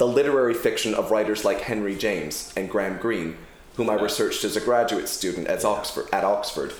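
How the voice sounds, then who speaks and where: With noticeable noise behind him, a man keeps up a fairly quick pace. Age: 30s. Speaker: novelist, former publisher. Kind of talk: bookshop author interview. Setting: bookshop event with small audience.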